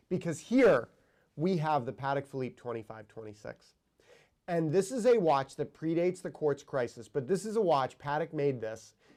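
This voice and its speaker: A man with a normal speaking voice talks at a moderate pace, his pitch fairly high. The recording is very clean and the background silent. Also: lively intonation. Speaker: watch show host. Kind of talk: casual chat.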